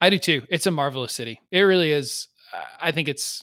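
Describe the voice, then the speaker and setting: In a very clean recording with a silent background, a man with a plain, everyday voice talks at a fairly quick pace, his fairly high pitch rising and falling in lively intonation. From US South, northeastern Alabama. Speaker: tech startup consultant, former chef. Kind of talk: casual chat.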